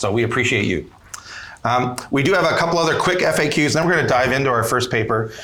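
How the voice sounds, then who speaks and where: In a Canadian accent, a man at a medium pitch talks at a very fast pace with lively intonation and very even loudness, over noticeable background noise and audible room echo. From Canada. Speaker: podcast host, emergency physician. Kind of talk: live podcast panel chat. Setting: stage with live conference audience.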